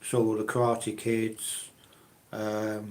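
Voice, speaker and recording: Speaking with a British accent, a man talks at a very slow pace. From UK. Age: 60s. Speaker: live streamer, collector. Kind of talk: live stream chat with viewers. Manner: halting, many fillers.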